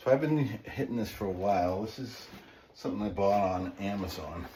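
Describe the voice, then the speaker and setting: A man speaks at a fairly low pitch and moderate pace with lively intonation. Noticeable background noise and audible room echo fill the recording. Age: 60s. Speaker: fitness channel host and small business owner. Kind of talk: workout tutorial. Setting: home basement. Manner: casual, instructive.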